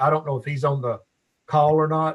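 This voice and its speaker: The speaker has a Tennessee accent and sounds somewhat breathy. Their intonation stays fairly even. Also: man. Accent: Southern US (Tennessee). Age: 60s. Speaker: alderman. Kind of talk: council meeting question.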